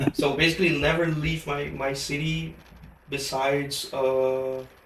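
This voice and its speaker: A man's fairly high voice, fairly slow and monotone with flat intonation, amid noticeable background noise and audible room echo. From Brazil, Curitiba. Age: 20s. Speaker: podcast guest, former exchange student. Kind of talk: casual chat. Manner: halting, many fillers. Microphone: bad audio in first 12 minutes.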